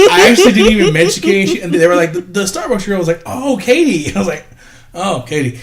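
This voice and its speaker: Amid noticeable background noise, a man talks at a very fast pace in a high pitch, his intonation lively and his tone animated. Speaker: podcast co-host. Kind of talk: casual chat.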